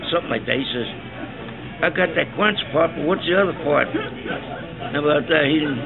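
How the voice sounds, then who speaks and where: A man's fairly high voice at a moderate pace, over noticeable background noise. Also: ordinary pitch variation. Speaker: retired musician, storyteller. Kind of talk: casual anecdote telling at a lunch table. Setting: noisy pub.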